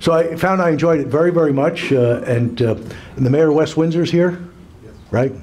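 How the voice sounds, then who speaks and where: A man at a fairly quick pace with lively intonation, amid noticeable background noise and audible room echo. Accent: American. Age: 60s. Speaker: business owner. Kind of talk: after-dinner speech. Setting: luncheon event with audience. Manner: halting.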